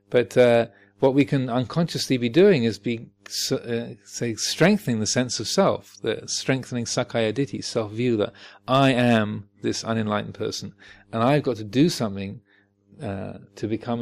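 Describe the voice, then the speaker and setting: A man with a medium-pitched voice speaks at a moderate pace with ordinary pitch variation, on a very clean recording with a silent background. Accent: southern English. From Home Counties, England. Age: 50s. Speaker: Buddhist teacher. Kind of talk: dharma talk. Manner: halting.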